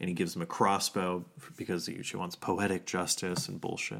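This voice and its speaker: A man talks fairly quickly, and the recording is very clean with total silence behind him. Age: 30s. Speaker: podcast co-host. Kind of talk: casual chat.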